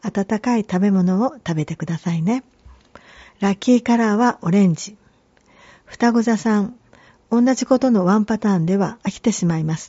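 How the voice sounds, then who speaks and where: Somewhat breathy, a woman's voice stays at a medium pitch. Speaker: tarot reader and podcast host. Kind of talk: scripted-style tarot and horoscope reading. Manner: formal, polite, measured.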